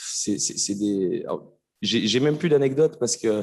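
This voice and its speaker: A man's medium-pitched voice with lively intonation at a fairly quick pace. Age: 20s. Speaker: speaker with ADHD giving testimony. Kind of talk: testimony. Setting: stage with audience. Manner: halting, many repetitions and fillers.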